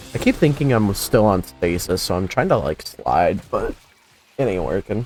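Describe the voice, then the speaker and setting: With music in the background, a man talks at a moderate pace. His fairly low voice makes very wide pitch swings. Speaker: gaming streamer. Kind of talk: gameplay commentary. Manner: casual, halting with fillers.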